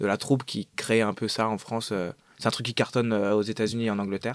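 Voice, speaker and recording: Over a very clean recording with a silent background, a man talks at a moderate pace in a monotone, flat intonation, his fairly low pitch captured with a dry, close sound and no echo. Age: 20s. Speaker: actor. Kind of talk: casual chat.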